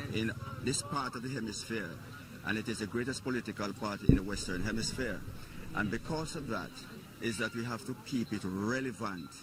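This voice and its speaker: A man's medium-pitched voice at a fairly quick pace, with ordinary pitch variation and noticeable background noise. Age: old. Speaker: political party supporter. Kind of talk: street interview.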